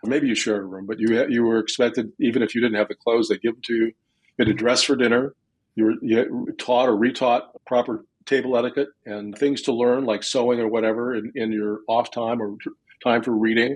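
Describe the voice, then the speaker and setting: Speaking fairly quickly with an American accent, a man holds a medium pitch in a monotone, flat delivery. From US Midwest, Ottumwa, Iowa. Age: 70s. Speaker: adoptee and memoir author. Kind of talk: interview. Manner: halting.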